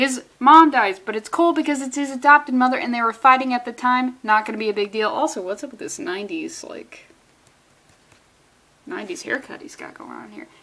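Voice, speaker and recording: Talking at a fairly quick clip, a woman with a high-pitched voice sounds animated, her pitch moving in an ordinary way over noticeable background noise. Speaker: comic book reviewer. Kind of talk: casual comic review. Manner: fast.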